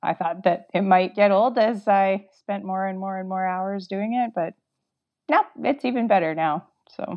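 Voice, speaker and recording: A woman speaks at a medium pitch with a Canadian accent. Her pace is moderate and her pitch varies in an ordinary way. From Canada. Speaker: record lathe cutter. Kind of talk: casual interview. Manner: animated, laughing often.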